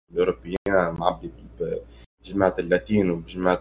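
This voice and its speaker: A man talks at a fairly quick pace with vocal fry. His pitch is very deep and low. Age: 20s. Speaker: university student. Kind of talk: casual talk.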